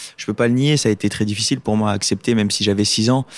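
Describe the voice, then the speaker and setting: A man's fairly even voice in a dry, close sound with no echo, over noticeable background noise. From Lorraine, France. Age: 20s. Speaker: paralympic swimmer. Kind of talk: casual interview. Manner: hesitant, many fillers.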